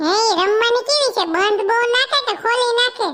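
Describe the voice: A woman does a squeaky, cartoonish character voice at an extremely high pitch, with very even loudness and a moderate pace.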